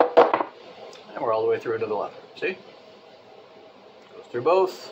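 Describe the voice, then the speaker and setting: Big swings in loudness and very wide pitch swings from a man at a medium pitch and fairly slow pace, over noticeable background noise. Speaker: leather crafter. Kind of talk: tutorial. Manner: occasionally slurring words; casual.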